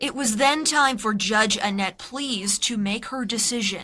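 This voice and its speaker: Fairly high female voice against noticeable background noise. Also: ordinary pitch variation, fairly slow pace. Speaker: TV news reporter. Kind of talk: TV news package narration.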